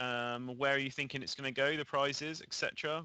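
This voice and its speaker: Talking at a very fast pace, a man with an English accent has a bright, sharp tone and fairly even intonation. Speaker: esports caster. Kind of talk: live commentary.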